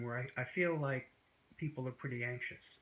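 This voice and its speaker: An ordinary speaking voice from a man, medium in pitch with ordinary pitch variation, at a fairly quick pace. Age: 60s. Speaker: YouTuber discussing wellness and history. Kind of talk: casual monologue to camera. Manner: conversational with many fillers.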